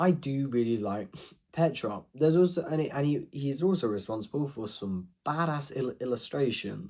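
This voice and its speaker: A quiet man's voice, fairly high in pitch, with a dark, mellow tone, lively intonation and a moderate pace. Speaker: youtuber ranking fiction. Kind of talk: casual monologue review. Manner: halting.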